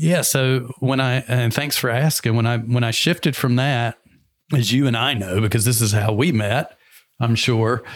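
A man speaks with an American accent in a plain, everyday voice. His pitch is medium with ordinary variation, at a moderate pace and very even loudness. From US South. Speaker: entrepreneur and business coach. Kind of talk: interview conversation.

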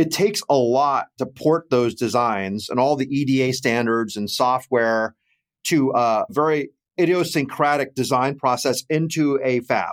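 Recorded very cleanly with a silent background, a man speaks at a fairly slow pace and medium pitch. The sound is dry and close with no echo, and his pitch varies in an ordinary way. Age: 50s. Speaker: investment fund executive. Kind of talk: interview. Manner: animated.

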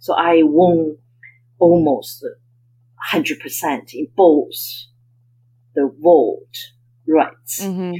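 Speaking very slowly with long, frequent pauses, a woman talks in a Chinese accent. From China (Beijing). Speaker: investment banker and author. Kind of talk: interview.

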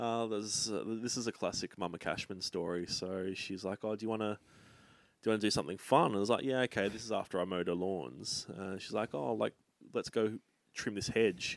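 In an Australian accent, a man talks at a fairly quick pace with a fairly low pitch, on a very clean recording with a silent background. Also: ordinary pitch variation. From Australia, Sydney (north of Hornsby). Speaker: comedian and travel agent. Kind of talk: casual chat.

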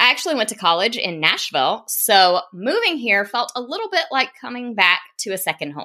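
A woman with a strong Southern US accent talks at a fairly quick pace with hardly any pauses. Her pitch swings very widely. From US South, South Carolina. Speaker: podcast host, business coach, former teacher. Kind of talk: solo podcast monologue.

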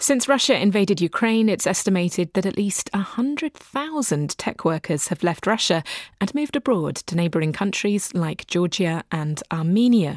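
A woman speaks at a moderate pace and medium pitch, with very wide pitch swings. The sound is dry and close with no echo, a very clean recording with a silent background. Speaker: radio host. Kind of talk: radio news magazine presenting. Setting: studio. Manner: polished, clear, conversational.

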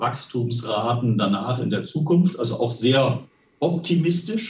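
The voice is somewhat breathy. It moves at a very slow pace. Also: man. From Westphalia, Germany. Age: 60s. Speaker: company finance executive. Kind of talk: interview.

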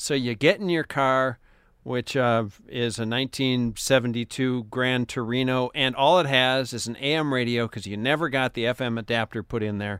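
A man talks in a normal speaking voice at medium pitch. His pace is fairly slow, with ordinary pitch variation. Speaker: public radio host. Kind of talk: radio interview and intro. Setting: studio.

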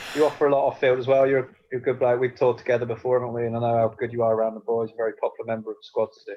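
A man talks at a very fast pace in monotone, flat intonation. His pitch is medium, and his loudness swings widely. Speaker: podcast host, former cricketer.

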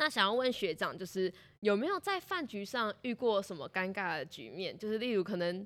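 A woman's medium-pitched voice, a plain, everyday voice, with lively intonation at a moderate pace on a very clean recording with a silent background. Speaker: student podcast host. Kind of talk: interview.

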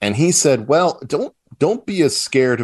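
The background is quiet as a man talks at a fairly slow pace. His pitch swings very widely. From US South, Charleston, South Carolina. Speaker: political commentator and publisher. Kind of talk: casual interview.

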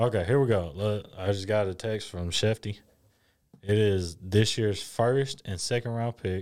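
A man is talking very slowly. His intonation stays fairly even. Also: very clean recording, silent background. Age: 20s. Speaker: sports podcast co-host. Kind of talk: casual chat.

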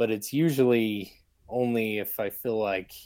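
A man's unremarkable speaking voice with an American accent, fairly low in pitch and fairly even in intonation. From Utah, Salt Lake City. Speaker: bowhunter and hunting filmmaker. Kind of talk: casual interview conversation.

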